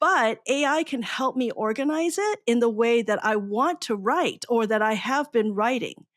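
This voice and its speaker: A woman with a Chinese accent speaks in a high pitch with lively intonation, very even loudness and hardly any pauses. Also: moderate pace, very clean recording, silent background. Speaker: podcast host, educator. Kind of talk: podcast interview.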